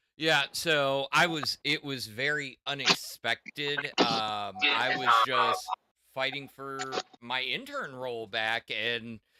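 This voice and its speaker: Music plays in the background as the voice, dry and close with no echo, moves at a very slow pace with ordinary pitch variation. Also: man, medium pitch for a man. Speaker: new tech podcast co-host. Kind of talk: casual chat.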